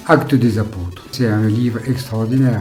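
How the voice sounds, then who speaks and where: A man at a moderate pace and medium pitch with fairly even intonation, over background music and audible room echo. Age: 60s. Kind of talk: interview answers.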